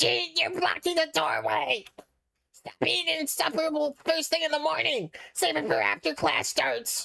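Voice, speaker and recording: A put-on character voice, female-sounding and raspy, comes through. It sits at a high pitch for a woman. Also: moderate pace. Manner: agitated.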